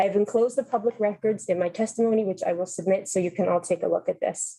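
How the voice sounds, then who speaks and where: A woman talks at a very fast pace, her medium-pitched voice dark and mellow in tone. Her intonation is fairly even and her loudness very even. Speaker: nutritionist testifying at legislative hearing. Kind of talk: legislative testimony. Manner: reading aloud from prepared statement.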